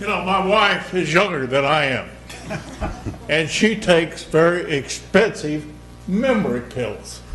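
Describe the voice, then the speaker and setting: A loud man with a high voice speaks at a fairly slow pace, with lively intonation and long, frequent pauses, over background music in a room with audible echo. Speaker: former mayor speaking at public comment. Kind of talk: public comment at council meeting. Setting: council chamber.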